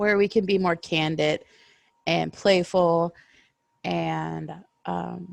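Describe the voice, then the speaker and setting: A woman talks at a very slow pace. Her speech is broken by long, frequent pauses. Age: 30s. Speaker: podcast co-host and story reader. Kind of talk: casual chat.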